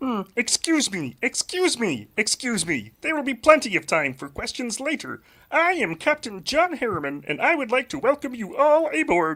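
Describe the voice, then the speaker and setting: In a put-on character voice, a man speaks at an extremely high pitch with very wide pitch swings. He keeps a moderate pace with hardly any pauses. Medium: audio drama. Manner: polite, hesitant, fussy.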